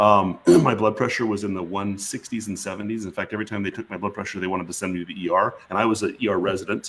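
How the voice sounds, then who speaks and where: Talking at a very fast pace with hardly any pauses, a man uses a fairly low pitch. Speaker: physician. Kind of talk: interview. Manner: animated.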